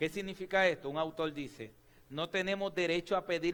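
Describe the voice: Speaking at a fairly quick pace, a man has a fairly bright tone and ordinary pitch variation.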